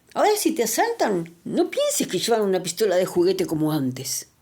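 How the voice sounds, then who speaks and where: A woman's medium-pitched voice with a dark, mellow tone, fairly quick pace and very wide pitch swings. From Argentina. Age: 60s. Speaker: political commentary vlogger. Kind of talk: video monologue. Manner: animated.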